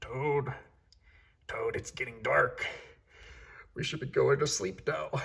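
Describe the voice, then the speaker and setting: A man's raspy, put-on character voice at a fairly slow pace, with long, frequent pauses. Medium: read story. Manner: calm, reassuring.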